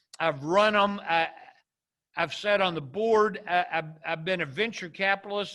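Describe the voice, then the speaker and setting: Raised and projected, a man's high, bright, sharp voice moves at a moderate pace with fairly even intonation. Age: 70s. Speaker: entrepreneur and business mentor. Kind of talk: interview conversation. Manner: repetitive false starts.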